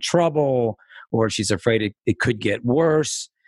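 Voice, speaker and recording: Over a quiet background comes an ordinary speaking voice with ordinary pitch variation. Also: man. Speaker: podcast host and attorney. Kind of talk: interview, casual chat.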